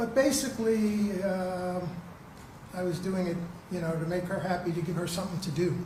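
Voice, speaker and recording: A high-pitched male voice with ordinary pitch variation at a moderate pace, with audible room echo and noticeable background noise. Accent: American. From New Jersey. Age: 80s+. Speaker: trial witness. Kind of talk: courtroom testimony. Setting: courtroom. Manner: halting.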